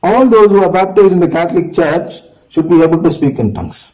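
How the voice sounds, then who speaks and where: Speaking with a non-native accent and lively intonation, a man keeps a moderate pace amid audible room echo. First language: not English. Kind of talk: religious teaching talk.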